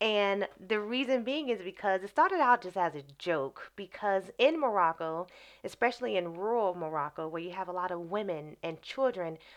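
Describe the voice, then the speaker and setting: A woman with an American accent and an ordinary speaking voice talks at a moderate pace with lively intonation against a quiet background. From US Midwest, Chicago Southeast Side. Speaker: wellness coach and vegan community founder. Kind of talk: interview.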